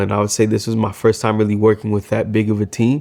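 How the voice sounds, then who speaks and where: This man's voice sits at a fairly low pitch. His tone is dark and mellow. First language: Swahili. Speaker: filmmaker. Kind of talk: casual reflective vlog. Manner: hesitant, many fillers.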